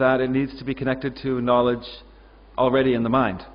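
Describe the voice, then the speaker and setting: A man with an unremarkable speaking voice and a Canadian accent talks at a fairly quick pace and a medium pitch. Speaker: ESL teacher, conference speaker. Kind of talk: conference presentation.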